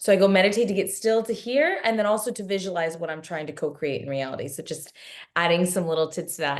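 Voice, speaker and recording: A woman with a medium pitch and an animated tone talks at a very fast pace with ordinary pitch variation. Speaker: spiritual teacher. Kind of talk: live online workshop talk. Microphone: laptop camera and mic, poor quality.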